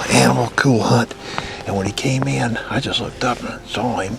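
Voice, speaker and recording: A man whispers at a moderate pace while noticeable background noise fills the recording. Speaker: hunting show host. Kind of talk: hunting narration to camera. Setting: outdoors. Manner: whispering.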